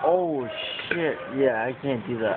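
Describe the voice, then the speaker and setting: Over noticeable background noise, a man mumbles with ordinary pitch variation. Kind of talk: casual chat. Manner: slurred, groggy drunk mumble. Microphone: phone near.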